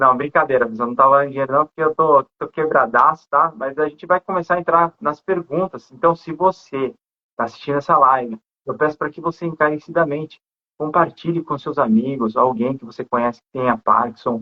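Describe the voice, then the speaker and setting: In an ordinary speaking voice, a man talks at a fairly quick pace with a fairly high pitch, ordinary pitch variation and big swings in loudness. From Brazil, not Rio de Janeiro. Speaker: live stream host. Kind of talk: casual live interview. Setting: Instagram live.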